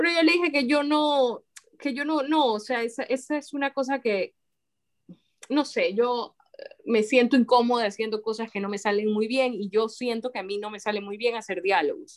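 A woman talks with a plain, everyday voice at a moderate pace. Her pitch sits fairly high, with ordinary variation. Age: 40s. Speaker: writer. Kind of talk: casual interview chat.

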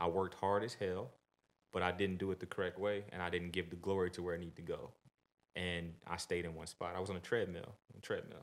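The speech comes at a fairly quick pace in a monotone, flat intonation. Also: man, very deep, low pitch for a man. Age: 30s. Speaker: strength and conditioning coach. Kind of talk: casual chat.

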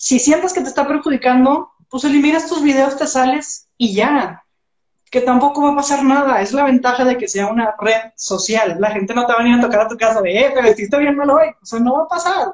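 A woman's high voice moves along at a fairly quick pace. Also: ordinary pitch variation. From Mexico, Monterrey. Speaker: entrepreneur and social media coach. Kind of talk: casual interview. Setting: Instagram live stream.

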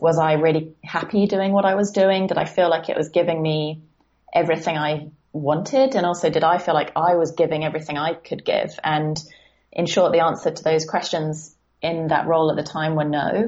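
Speaking in a southern English accent, a woman talks at a fairly quick pace and a fairly low pitch with fairly even intonation. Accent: British southern English. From southern England. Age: 20s. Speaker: life coach. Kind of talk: casual interview chat. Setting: remote call.

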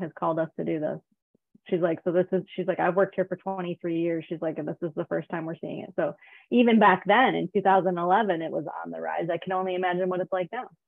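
This is a normal speaking voice. A woman talks at a moderate pace with a fairly low pitch. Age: 40s. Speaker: abuse survivor. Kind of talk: casual chat. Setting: video call.

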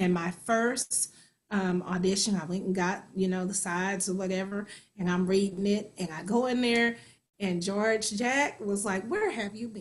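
With an American accent, a woman talks in a somewhat breathy way. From US Midwest, Kansas City. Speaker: actor and singer. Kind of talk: interview.

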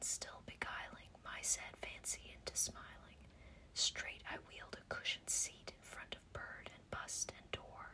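Whispering in a soothing tone, the speaker moves at a fairly slow pace. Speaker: ASMR-style reader and podcast host. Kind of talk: whispered poetry reading for relaxation. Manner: soft, slow, hushed whisper, measured and soothing.

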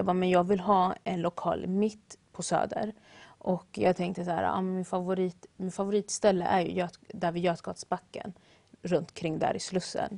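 Over a quiet background, a woman speaks at a medium pitch and a moderate pace in a monotone with flat intonation. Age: young. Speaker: baker and café owner. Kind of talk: interview.

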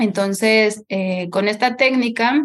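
The woman talks at a very slow pace. Her intonation is fairly even. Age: 30s. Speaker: holistic therapist. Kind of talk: interview conversation. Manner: halting.

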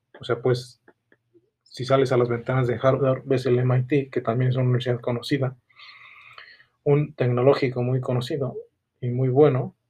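Long, frequent pauses break up this man's monotone, flat delivery. His medium-pitched voice has a dark, mellow tone and is somewhat breathy. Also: moderate pace. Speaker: small business owner. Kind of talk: solo podcast monologue. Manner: halting.

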